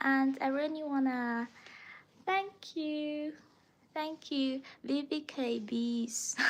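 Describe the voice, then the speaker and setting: A woman with a Chinese accent, high-pitched with ordinary variation, at a very slow pace with long, frequent pauses. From China. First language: Mandarin Chinese. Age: 20s. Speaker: language teacher livestreamer. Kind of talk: casual livestream chat.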